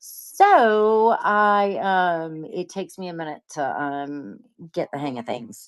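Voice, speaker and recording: Lively intonation marks a woman's unremarkable speaking voice, pitched fairly low. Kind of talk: live sales stream. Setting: livestream with camera. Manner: casual, filler-heavy.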